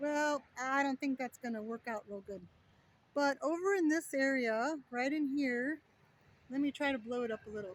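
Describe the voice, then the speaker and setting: The voice is loud and moves at a moderate pace. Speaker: travel vlogger. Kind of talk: casual vlog walkthrough. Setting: outdoors. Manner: loud outdoor voice; casual with fillers.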